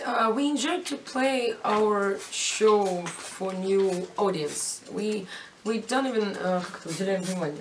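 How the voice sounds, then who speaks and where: A woman with a Russian accent speaks at a fairly slow pace and a medium pitch, her intonation lively, amid noticeable background noise and audible room echo. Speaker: rock band member. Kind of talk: interview. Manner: halting, searching for words.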